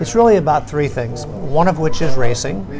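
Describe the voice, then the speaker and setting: A man with ordinary pitch variation over noticeable background noise. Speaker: interview guest. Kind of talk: interview answer. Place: cafe. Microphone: phone near.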